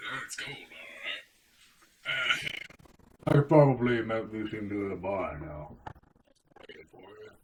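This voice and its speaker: Using a put-on character voice, a man speaks raspily at a medium pitch and moderate pace, leaving long, frequent pauses. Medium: actual play. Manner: blunt, casual.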